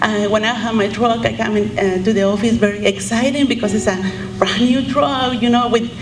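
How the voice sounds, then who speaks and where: A woman with a Mexican accent speaks at a fairly high pitch and a moderate pace, her intonation fairly even, with audible room echo and noticeable background noise. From Mexico. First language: Spanish. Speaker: mover, truck owner-operator. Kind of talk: memorial tribute speech.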